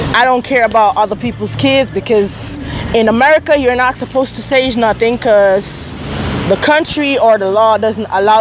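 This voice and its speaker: A woman's fairly high voice at a moderate pace with ordinary pitch variation, against noticeable background noise. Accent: Jamaican. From Jamaica. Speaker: vlogger. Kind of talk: casual live-stream storytelling.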